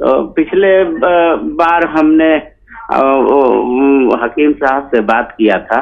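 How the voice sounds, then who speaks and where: Over noticeable background noise, a man speaks at a fairly high pitch with ordinary pitch variation and very even loudness. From Bihar, India (Arrah). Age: 60s. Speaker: caller. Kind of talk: phone-in question. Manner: halting.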